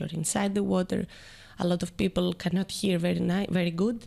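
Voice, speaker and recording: Here a woman speaks with a Greek accent. Her pace is moderate. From Greece (Athens). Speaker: water polo player. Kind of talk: podcast interview. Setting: studio. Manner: halting.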